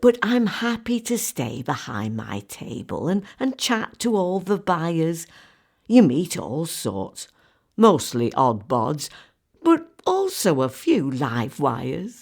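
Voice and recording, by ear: A woman's put-on character voice, low-pitched and slightly mellow with vocal fry and big pitch swings, at a slow pace on a very clean recording with a silent background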